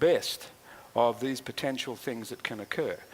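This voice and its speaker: A man at medium pitch with an Australian accent, talking at a fairly quick pace. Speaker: speaker at a tourism and flood planning forum. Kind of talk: public address at a forum. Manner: halting, many filler words.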